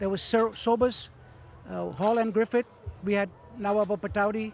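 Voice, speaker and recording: Over music in the background, a man with a high pitch talks at a moderate pace, his intonation fairly even. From India (Calcutta), Armenian parents. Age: 70s. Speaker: cricket fan. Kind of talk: casual interview. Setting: outdoors at stadium with crowd. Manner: halting.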